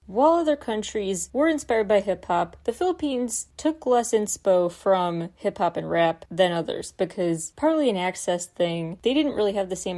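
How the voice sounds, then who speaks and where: Over a silent background in a very clean recording, a woman speaks at a moderate pace in a dark, mellow tone with lively intonation. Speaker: podcast host. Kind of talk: scripted narration. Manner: informal.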